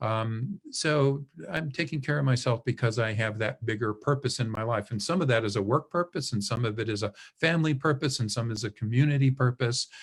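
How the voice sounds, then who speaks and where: Somewhat breathy, a man talks at a fairly quick pace with a medium pitch and ordinary pitch variation. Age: 60s. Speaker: professor. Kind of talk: webinar Q&A. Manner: casual, conversational with fillers.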